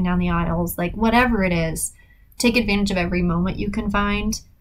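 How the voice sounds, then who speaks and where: A woman's medium-pitched voice with ordinary pitch variation at a fairly quick pace, with audible room echo. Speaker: podcast host, writer. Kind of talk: solo podcast talk. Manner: fast; casual, hesitant with fillers.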